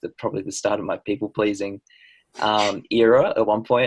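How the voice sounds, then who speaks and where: On a very clean recording with a silent background, a man with an Australian accent speaks at a moderate pace. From New Zealand. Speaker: podcast host. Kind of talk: podcast interview.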